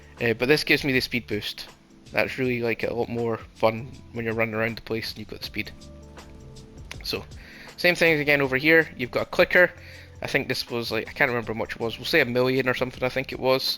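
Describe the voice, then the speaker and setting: A man speaks very fast at a medium pitch, with ordinary pitch variation. Music plays in the background. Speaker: gaming channel host. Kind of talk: game walkthrough commentary. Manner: casual.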